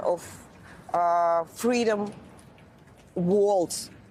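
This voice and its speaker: Speaking with a Ukrainian accent, a woman shows ordinary pitch variation. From northern Ukraine. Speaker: journalist and news anchor. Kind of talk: interview. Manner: halting.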